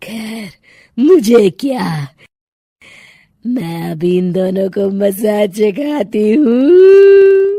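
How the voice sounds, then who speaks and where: A woman does a cartoonish character voice at a fairly high pitch, speaking very slowly in a menacing tone. She breaks into cackling. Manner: cackling, menacing.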